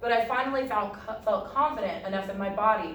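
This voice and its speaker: A woman's fairly high voice at a fairly quick pace, with lively intonation, noticeable background noise and audible room echo. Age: 20s. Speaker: college student practicing a speech. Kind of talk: speech rehearsal. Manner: fast; articulate. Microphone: poor audio.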